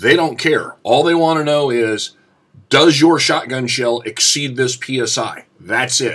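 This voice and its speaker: A man with a bright, sharp tone, very slow pace, and ordinary pitch variation. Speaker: shotgun hunter and YouTuber. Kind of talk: informal explanatory tutorial. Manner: casual with many filler sounds.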